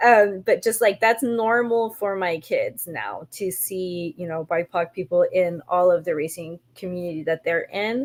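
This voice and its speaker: A woman with an ordinary speaking voice talks at a fairly slow pace, with hardly any pauses, medium pitch and ordinary pitch variation. The recording is very clean with a silent background and a dry, close sound with no echo. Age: 40s. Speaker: cyclist and community organizer. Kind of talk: panel discussion.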